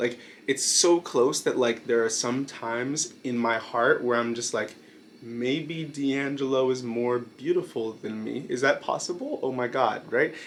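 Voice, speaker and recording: Noticeable background noise sits behind a man with an American accent. He speaks at a fairly slow pace with ordinary pitch variation. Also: medium pitch for a man. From Brooklyn, New York, US. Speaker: YouTuber, video essayist. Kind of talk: casual monologue video. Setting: night filming. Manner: hesitant, many fillers.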